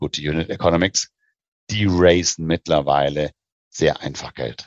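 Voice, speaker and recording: This man speaks with vocal fry and fairly even intonation. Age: 40s. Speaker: investment banker. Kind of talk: interview.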